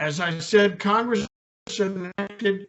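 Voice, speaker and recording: A man's voice with fairly even intonation. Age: 70s. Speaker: military lawyer and reserve officer. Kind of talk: lecture. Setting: room with live audience. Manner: formal.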